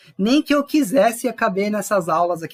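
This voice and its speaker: A man with a high-pitched voice. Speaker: chef and leadership mentor. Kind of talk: online class. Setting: livestream. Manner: fast.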